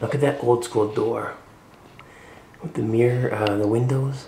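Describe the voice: At a fairly slow pace, a man talks at a medium pitch with vocal fry, a dark, mellow tone and fairly even intonation.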